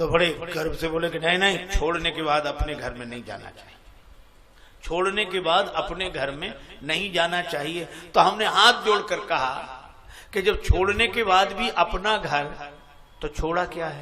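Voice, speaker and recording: A man speaks at a high pitch in a bright, sharp tone, with ordinary pitch variation. His loudness swings widely. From Etah, Uttar Pradesh, India. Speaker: Ramayana discourse preacher. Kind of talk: religious discourse.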